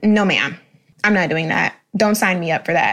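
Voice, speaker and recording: A woman with an American accent has a plain, everyday voice, speaking at a moderate pace with ordinary pitch variation. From Jacksonville, Florida. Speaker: podcast co-host, social coordinator. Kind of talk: casual roundtable chat.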